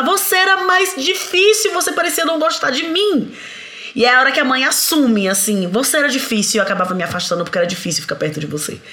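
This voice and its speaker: Over noticeable background noise and audible room echo, a woman in a raised, projected voice speaks at a very fast pace with a high pitch and very wide pitch swings. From Bahia, Brazil. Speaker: parenting author. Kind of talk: casual chat.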